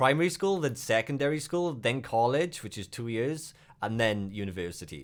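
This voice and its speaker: Speaking with a Welsh accent at a moderate pace, a man swings his pitch very widely. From Wales. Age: 30s. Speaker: streamer. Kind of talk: casual chat.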